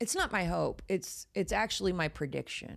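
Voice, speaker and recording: Speaking at a fairly slow pace in a Texan accent, the voice has vocal fry, lively intonation and an animated tone, on a very clean recording with a silent background. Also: woman. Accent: Texas accent, a little thicker. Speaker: horror podcast host. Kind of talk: casual chat.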